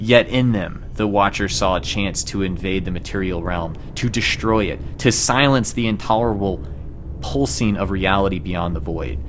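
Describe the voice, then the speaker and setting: There is noticeable background noise as a man talks at a moderate pace. His voice is fairly low-pitched, with lively intonation. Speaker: gaming streamer. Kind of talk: dramatic lore narration. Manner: dramatic.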